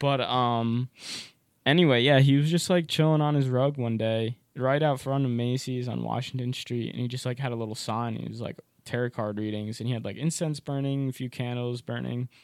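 A man with an American accent and an unremarkable speaking voice talks at a fairly quick pace, with medium pitch and fairly even intonation. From rural area near New York, US Northeast. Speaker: college student. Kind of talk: casual chat.

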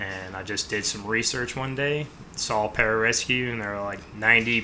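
A man with an American accent, fairly low in pitch, at a moderate pace amid noticeable background noise. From US Midwest, mostly Chicago. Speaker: military pararescue operator. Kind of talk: interview.

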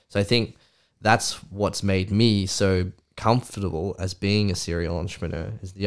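The intonation stays fairly even, with an Australian accent. The recording is very clean, with a silent background. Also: man. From Australia, Canberra. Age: 30s. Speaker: entrepreneur. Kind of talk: casual chat.

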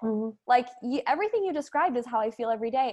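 Speaking at a fairly quick pace, a woman with an American accent has a high pitch. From US Midwest, Wisconsin. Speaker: entrepreneur and business coach. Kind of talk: casual interview chat.

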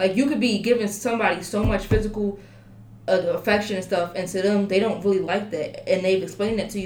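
A woman's medium-pitched voice, with fairly level intonation, carries over noticeable background noise and audible room echo. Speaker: college student. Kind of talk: casual chat.

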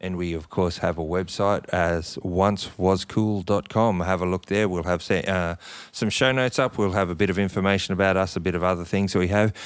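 A man with a very deep, low voice speaks in an Australian accent at a moderate pace. His intonation stays fairly even and he takes hardly any pauses. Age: 40s. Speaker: podcast co-host. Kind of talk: casual chat.

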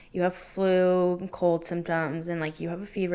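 A woman's plain, everyday voice, medium in pitch, with an American accent and a fairly quick pace, on a very clean recording with a silent background. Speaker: podcast co-host. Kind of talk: casual chat.

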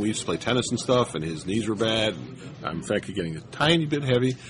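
Over noticeable background noise, a man with a medium pitch speaks at a very fast pace. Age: 60s. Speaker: retired tournament player. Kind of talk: casual interview.

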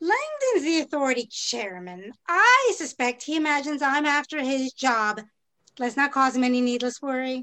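Raising and projecting her voice, a woman speaks with a high pitch, a bright, sharp tone and lively intonation. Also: moderate pace. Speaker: city planner character. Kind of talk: audio drama period dialogue. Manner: brisk, crisp, formal and imperious.

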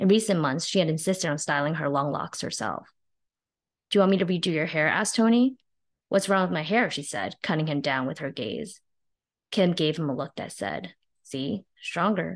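At a moderate pace, a woman with an ordinary speaking voice talks at a fairly low pitch with lively intonation against a quiet background. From northern New Jersey, US (born in China). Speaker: novelist, former investment banker. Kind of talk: reading aloud.

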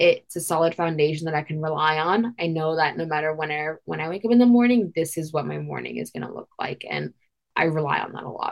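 A woman speaks very fast in a very deep, low voice, with ordinary pitch variation and big swings in loudness. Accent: American. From Queens, New York. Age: young. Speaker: non-profit founder and college student. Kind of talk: interview.

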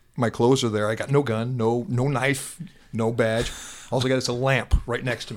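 With a plain, everyday voice, a man speaks at medium pitch and a moderate pace, his intonation fairly even. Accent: American. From Iowa. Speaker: retired police officer, SWAT and narcotics. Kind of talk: casual interview, storytelling.

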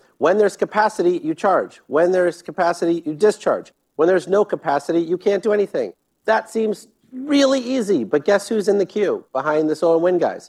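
In a dry, close recording with no echo, a man with an American accent talks at a fairly quick pace, his high-pitched voice carrying lively intonation. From US Midwest, Sterling, Illinois. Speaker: government energy official and clean energy investor. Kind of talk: live fireside chat. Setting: stage with audience.

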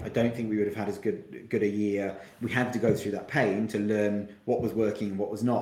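Noticeable background noise surrounds a man speaking at a very fast pace. His pitch is fairly low. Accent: southern English. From Kent, south-east England. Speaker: marketing agency founder and CEO. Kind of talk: podcast interview. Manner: hesitant, frequent repetitions.

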